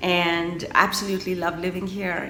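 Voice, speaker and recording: A woman speaks at a moderate pace in a fairly low, flat monotone. Music plays in the background, and the room echo is audible. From India. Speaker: novelist. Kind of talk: interview. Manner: loud.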